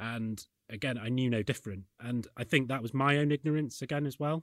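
A man speaks with a Yorkshire accent at a very fast pace. The recording is very clean, with a silent background. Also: dry, close sound with no echo. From Yorkshire, northern England. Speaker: accounting firm chief executive. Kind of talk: panel discussion.

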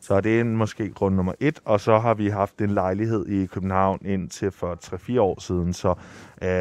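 Speech comes at a fairly slow pace with fairly even intonation. The background is quiet. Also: man. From Rome, Italy. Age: 20s. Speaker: son of the guest. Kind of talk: interview. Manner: halting, many fillers.

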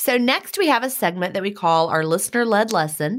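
A woman with a plain, everyday voice speaks at medium pitch with lively intonation. The recording is very clean, with a silent background. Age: 50s. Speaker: podcast co-host and retired teacher. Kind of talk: casual chat.

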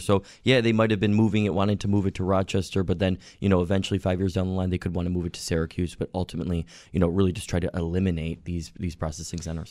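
A man with an American accent speaks at a very fast pace in a very deep, low voice. His intonation is fairly even, and the recording is very clean with a silent background. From Western New York (Orchard Park, near Buffalo). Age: 30s. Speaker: city council member. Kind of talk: radio interview. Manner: many fillers, somewhat halting.

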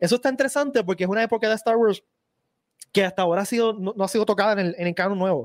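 A man speaks very fast at a high pitch, with ordinary pitch variation and very even loudness. The recording is very clean and dry, close with no echo, and the background is silent. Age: 40s. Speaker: podcast host. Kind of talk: casual chat.

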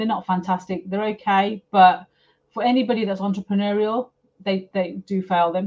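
A woman's somewhat breathy voice moves at a fairly quick pace with fairly even intonation. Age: 50s. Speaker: property developer. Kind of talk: casual interview chat.

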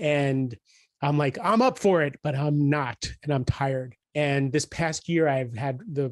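With a normal speaking voice, a man talks at a moderate pace and fairly high pitch, his intonation fairly even, in a dry, close recording with no echo and a quiet background. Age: 50s. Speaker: executive coach and author. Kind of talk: interview conversation.

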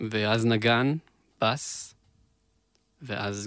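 Very slowly and with fairly low pitch, a man speaks in a dry, close sound with no echo. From Israel, Beersheba. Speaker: musician and producer. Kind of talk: casual interview chat.

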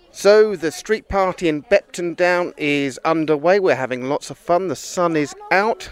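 A man with a high pitch talks at a fairly slow pace with hardly any pauses and ordinary pitch variation, noticeable background noise behind him. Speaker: community radio podcast co-host. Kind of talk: casual chat and street interviews. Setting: outdoors at a street party.

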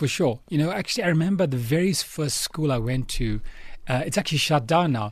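The voice is somewhat breathy and moves at a fairly quick pace with lively intonation. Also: man, fairly high pitch for a man. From South Africa, Chatsworth, Durban. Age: 30s. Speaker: business executive. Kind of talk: radio interview. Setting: radio studio.

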